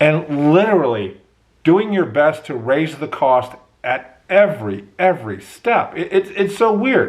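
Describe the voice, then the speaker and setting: Fairly slow pace with very wide pitch swings. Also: man, fairly high pitch for a man. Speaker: university professor and podcaster. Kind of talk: podcast monologue. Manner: slow-paced.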